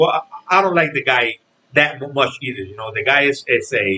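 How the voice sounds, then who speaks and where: A man speaks at a moderate pace with a Spanish accent. His tone is bright and sharp, and his pitch is fairly high. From Puerto Rico. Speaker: boxing commentator vlogger. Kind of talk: casual vlog rant. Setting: home. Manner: halting, many repetitions.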